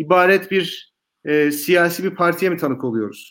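This man's voice sits high, moves at a fairly slow pace with ordinary pitch variation, and comes through on a very clean recording with a silent background. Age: 30s. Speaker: political commentator. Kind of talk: panel discussion.

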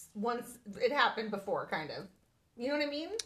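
A woman's high-pitched voice at a moderate pace, with very wide pitch swings and music in the background. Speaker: podcast host. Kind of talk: casual chat.

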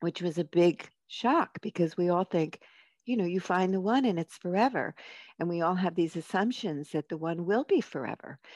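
A woman talks at a moderate pace in a normal speaking voice, fairly low in pitch with ordinary pitch variation. The sound is dry and close with no echo, over a quiet background. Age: 60s. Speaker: marriage and family therapist and author. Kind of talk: casual chat.

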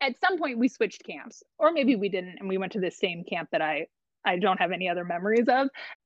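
Speaking very fast with lively intonation, a woman uses a medium pitch and an American accent. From US West Coast, Long Beach, California. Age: 30s. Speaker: camp professional. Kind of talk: casual interview.

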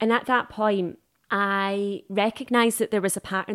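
A woman speaks in an unremarkable speaking voice at a medium pitch and moderate pace. The sound is dry and close with no echo, on a very clean recording with a silent background. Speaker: dating coach. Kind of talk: interview.

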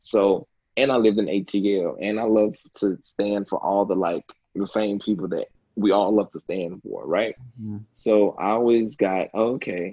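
Speaking at a fairly slow pace with fairly even intonation, a man has a normal speaking voice and a fairly low pitch. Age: 20s. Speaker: podcaster. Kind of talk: casual chat. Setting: home.

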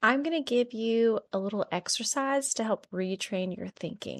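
A woman with a normal speaking voice talks at a fairly slow pace and a fairly high pitch, with ordinary pitch variation. The sound is dry and close with no echo, over a quiet background. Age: 30s. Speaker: nurse podcast host. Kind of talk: solo podcast monologue.

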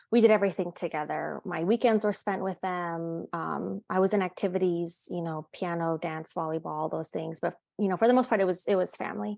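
A woman with an ordinary speaking voice and fairly low pitch, fairly quick with hardly any pauses and ordinary pitch variation, dry and close with no echo over a quiet background. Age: 30s. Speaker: bereaved daughter sharing her story. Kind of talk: personal testimony. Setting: video call.

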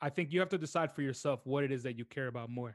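A man's medium-pitched voice with an American accent, an unremarkable speaking voice with ordinary pitch variation, against a quiet background. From US, New York City. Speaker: film photographer and artist. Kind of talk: casual interview.

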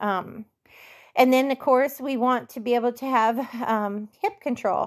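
A woman talks at a fairly slow pace with ordinary pitch variation. It is a normal speaking voice in a very clean recording with a silent background. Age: 50s. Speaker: barrel racing coach. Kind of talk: coaching Q&A podcast.

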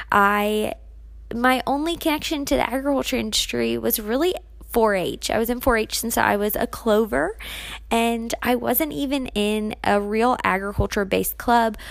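Speaking at a moderate pace with lively intonation, this is an ordinary speaking voice with an American accent. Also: woman, fairly high pitch for a woman. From US, Maryland. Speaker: podcast host and agriculture teacher. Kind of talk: casual solo podcast monologue.

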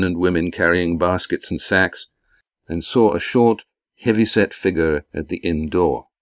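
On a very clean recording with a silent background, a man speaks at a very deep, low pitch, the sound dry and close with no echo. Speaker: author narrator. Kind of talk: dramatic narration of a fantasy audiobook, read aloud with character voices. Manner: measured, storytelling pace, formal.

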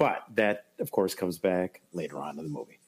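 Fairly quick talking from a man, pitch varying in an ordinary way. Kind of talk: casual podcast banter, movie analysis. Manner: chatty, enthusiastic, stumbling.

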